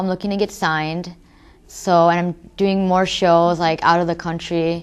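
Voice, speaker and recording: Speaking at a moderate pace with ordinary pitch variation, a woman with an American accent has a fairly low pitch against a quiet background. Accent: American accent when speaking Urdu. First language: Urdu. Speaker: rapper. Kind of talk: interview.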